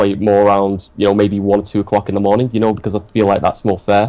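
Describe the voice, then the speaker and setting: Fairly low in pitch, a man speaks with a dark, mellow tone. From England, Manchester. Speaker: gamer, team leader interviewee. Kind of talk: casual interview chat. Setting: live stream podcast.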